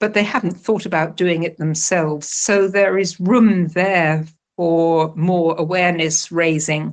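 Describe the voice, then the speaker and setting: In a British accent, a woman speaks fairly slowly at a fairly low pitch, her loudness very even. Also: fairly even intonation. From UK. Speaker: retired telecom policy researcher. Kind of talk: interview.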